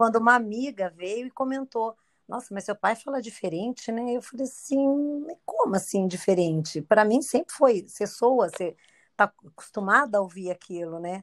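A woman with an unremarkable speaking voice talks at a moderate pace in a fairly high pitch, her intonation lively and her loudness swinging widely, in a dry, close sound with no echo. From Brazil, Campinas (São Paulo state). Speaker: guest. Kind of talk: casual chat.

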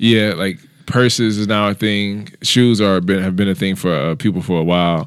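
A man with a plain, everyday voice speaks at a moderate pace, fairly low in pitch with ordinary variation, on a very clean recording with a silent background. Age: 30s. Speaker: comedian. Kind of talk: casual chat. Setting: studio. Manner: frequent laughter.

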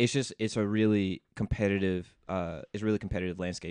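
In a plain, everyday voice, a man with an American accent talks at a fairly quick pace with fairly low pitch and fairly even intonation, the sound dry and close with no echo against a quiet background. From US South, Memphis, Tennessee. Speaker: tech startup founder. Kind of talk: interview. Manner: casual, many fillers.

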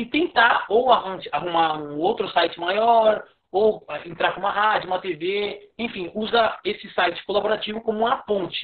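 A man talks with a high pitch. His pitch variation is ordinary. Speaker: sports journalist. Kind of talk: interview.

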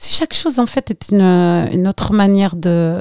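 A woman speaks at a moderate pace in a dark, mellow tone, with a dry, close sound and no echo. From Algeria, Skikda; left at 11 for France. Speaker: actress and voice-over artist. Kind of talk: casual chat.

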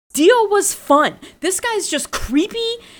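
Very slowly, a woman speaks in a raised, projected voice with a bright, sharp tone. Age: 20s. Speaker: podcast host. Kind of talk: casual chat.

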